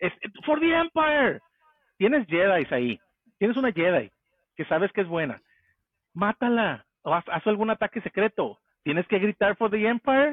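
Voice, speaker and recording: A man speaks at a high pitch, his voice swinging very widely in pitch. He leaves long, frequent pauses. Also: moderate pace. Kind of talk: casual chat.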